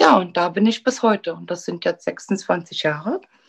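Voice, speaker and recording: A woman is speaking. The background is quiet. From Berlin, Germany. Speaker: beautician and salon owner. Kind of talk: oral-history storytelling. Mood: warm, nostalgic, content. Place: home room. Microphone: video call.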